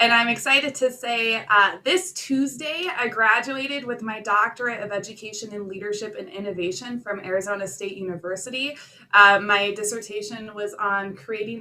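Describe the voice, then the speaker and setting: A woman with an American accent at medium pitch and a moderate pace, hardly any pauses, ordinary pitch variation and big swings in loudness, over noticeable background noise. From North Dakota, US. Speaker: academic advisor, new club member. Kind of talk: self-introduction at virtual club meeting.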